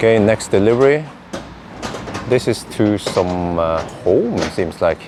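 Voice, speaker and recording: With a Norwegian accent, a man talks at a fairly slow pace and fairly low pitch with lively intonation and long, frequent pauses over noticeable background noise. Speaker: EV video creator. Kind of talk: casual vlog commentary. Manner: halting, many fillers.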